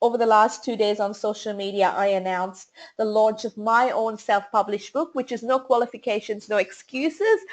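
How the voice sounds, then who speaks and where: A woman with an Australian accent over a quiet background. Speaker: small business marketing strategist and speaker. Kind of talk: webinar presentation. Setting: online webinar. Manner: fast.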